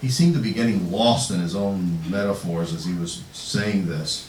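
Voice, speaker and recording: Very deep, low pitch from a man at a moderate pace, noticeable background noise behind him. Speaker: poet. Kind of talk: casual introduction to audience. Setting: bookstore reading, live audience. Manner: conversational, hesitant.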